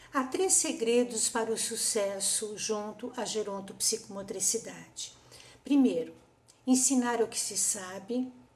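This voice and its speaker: Noticeable background noise sits behind a woman's fairly high voice. She speaks at a fairly slow pace. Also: ordinary pitch variation. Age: 60s. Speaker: psychomotor therapist. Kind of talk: conference talk.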